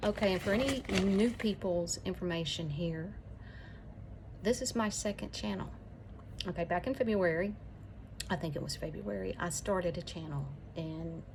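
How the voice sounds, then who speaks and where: At a moderate pace, a woman with an Alabama accent speaks with long, frequent pauses. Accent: Southern US (Alabama). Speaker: YouTuber. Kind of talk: casual chat.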